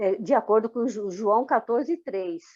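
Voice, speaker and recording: Her voice high for a woman, a speaker delivers her words at a moderate pace with lively intonation. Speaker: former Jehovah's Witness. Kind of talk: testimony interview. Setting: recorded interview.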